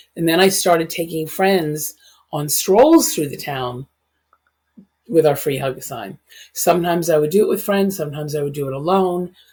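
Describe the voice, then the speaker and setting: A somewhat breathy woman's voice, fairly low in pitch, with ordinary pitch variation, big swings in loudness and a moderate pace. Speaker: hugging advocate. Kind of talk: podcast interview.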